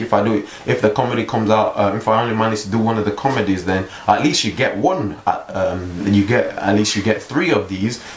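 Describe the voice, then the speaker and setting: A man's fairly low-pitched voice at a fairly quick pace, with audible room echo and noticeable background noise. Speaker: vlogger. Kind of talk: casual vlog monologue. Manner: halting, many fillers and repeats; calm, not overly upbeat.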